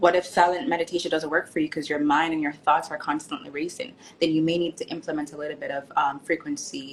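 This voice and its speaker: Over noticeable background noise, a woman with an American accent talks at a very fast pace with hardly any pauses. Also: fairly low pitch for a woman, ordinary pitch variation. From Jamaica, Kingston. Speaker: author and nurse. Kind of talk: casual interview. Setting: live stream.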